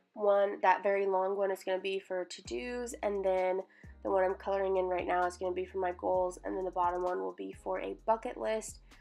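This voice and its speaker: With music in the background, a woman at medium pitch speaks at a moderate pace. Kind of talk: casual voiceover for a journaling video.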